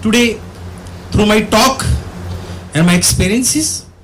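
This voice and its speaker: A high-pitched man with a non-native accent at a fairly slow pace, ordinary pitch variation, audible room echo and noticeable background noise. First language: Bhantu. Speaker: theatre director, guest of honor lecturer. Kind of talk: formal address / lecture.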